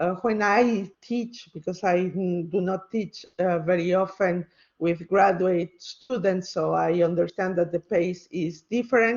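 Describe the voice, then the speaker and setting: With a non-native accent, a woman speaks at a fairly slow pace with hardly any pauses, using a medium pitch and fairly even intonation. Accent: non-native English speaker. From Mexico. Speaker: university lecturer. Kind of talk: lecture. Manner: hesitant, many fillers.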